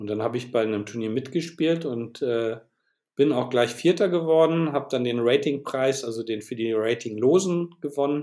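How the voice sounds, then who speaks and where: A man's medium-pitched voice with a dark, mellow tone, a moderate pace, and ordinary pitch variation. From northern Germany, Bremen. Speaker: chess web developer and designer. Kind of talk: interview. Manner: halting.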